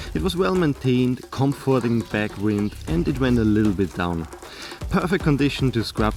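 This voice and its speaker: Music plays behind a man speaking at a medium pitch. His pitch swings very widely. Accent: strong Austrian. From Austria. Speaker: travel vlogger, cyclist. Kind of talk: vlog narration. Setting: outdoors on a bike.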